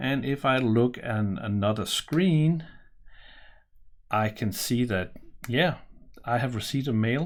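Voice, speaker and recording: A man with a Danish accent and a medium pitch talks at a fairly slow pace. His intonation is lively, and he leaves long, frequent pauses. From Denmark. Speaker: software presenter; software demonstrator. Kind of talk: tutorial. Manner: casual, with fillers. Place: home room.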